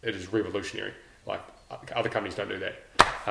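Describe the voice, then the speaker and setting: The man's voice carries noticeable room echo, with some faint noise behind it. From New Zealand, Lower Hutt (Naenae); New Zealand. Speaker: special forces veteran; podcast guest. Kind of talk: casual chat. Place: home room. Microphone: camera far.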